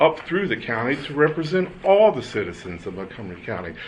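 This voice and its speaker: A man speaks with an American accent at a medium pitch and a moderate pace. Noticeable background noise runs behind him. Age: 60s. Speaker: public commenter at election board meeting. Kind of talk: public comment testimony. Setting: public board meeting. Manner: halting, with repetitions.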